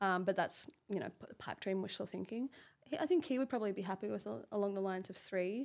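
An Australian accent marks a woman's very fast speech. Her medium-pitched voice has lively intonation. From Australia, Brisbane. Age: 30s. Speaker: fashion model. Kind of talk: casual interview chat.

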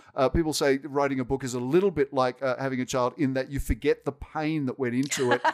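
With an Australian accent and a medium pitch, a man talks at a very fast pace with fairly even intonation and hardly any pauses. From Sydney, Australia. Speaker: technology executive. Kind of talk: casual interview.

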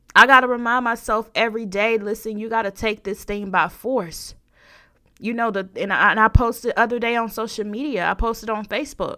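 On a very clean recording with a silent background, a woman talks at a fairly quick pace in a bright, sharp, animated tone with fairly high pitch. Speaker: podcast host. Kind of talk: sermon-like devotional monologue ending in a prayer; fervent preacher rant, urging listeners to take blessings by force. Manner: animated, emphatic, repeating lines for punch; conversational, with filler words.

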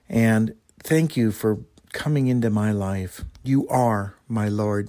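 At a very slow pace, a man talks with a fairly low pitch and ordinary pitch variation. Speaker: co-host. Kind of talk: closing prayer and announcements.

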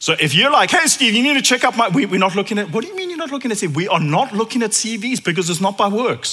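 A man speaks very fast in a raised, projected, high-pitched voice with hardly any pauses. His pitch swings very widely over noticeable background noise. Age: 40s. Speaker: preacher. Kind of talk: sermon. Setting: church.

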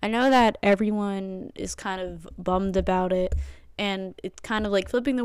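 In a very clean recording with a silent background, a woman with an American accent speaks in a normal speaking voice at a fairly slow pace, with medium pitch and fairly even intonation. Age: 20s. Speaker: podcast and live stream host, college student. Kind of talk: casual solo talk show monologue. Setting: live stream. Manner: casual, filler-heavy.

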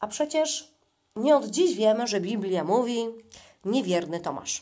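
A woman at a very slow pace, with lively intonation. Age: 40s. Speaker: podcaster. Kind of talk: casual monologue. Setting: in a bathtub at home.

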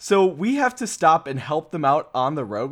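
A man with a plain, everyday voice, ordinary pitch variation and a moderate pace, on a very clean recording with a silent background. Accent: American. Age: 20s. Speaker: podcast host. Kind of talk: casual chat.

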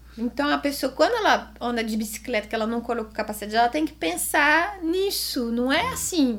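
Her voice high, a woman talks with hardly any pauses and very wide pitch swings over noticeable background noise. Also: fairly quick pace. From Switzerland. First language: French (speaking Portuguese). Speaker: amateur cyclist and real estate agent. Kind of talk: casual interview.

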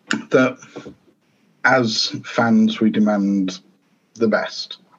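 A man with a northern English accent and fairly even intonation. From northern England, Grimsby. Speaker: football author and coach. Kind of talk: interview.

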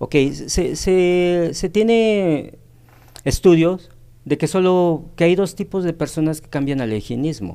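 A man with a dark, mellow tone and a high pitch speaks at a very slow pace, his loudness swinging widely while his pitch varies in an ordinary way. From Mexico, Tehuacán, Puebla. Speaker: nutritionist. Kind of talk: radio interview. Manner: halting.

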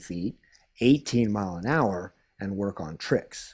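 This man uses a normal speaking voice at a fairly slow pace, with ordinary pitch variation. The recording is very clean, with a silent background. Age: 40s. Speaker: pro hydrofoil rider. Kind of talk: casual interview.

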